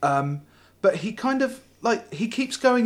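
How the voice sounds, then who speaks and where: With a slight British accent, a man speaks in very wide pitch swings. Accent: slight British, T-dropping. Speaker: podcast host. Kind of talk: casual chat podcast.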